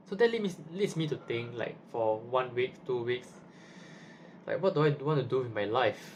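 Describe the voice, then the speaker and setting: This man speaks at a moderate pace with a medium pitch. His voice is somewhat breathy, with ordinary pitch variation. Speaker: university student vlogger. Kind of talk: casual vlog monologue. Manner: halting, with repetitions.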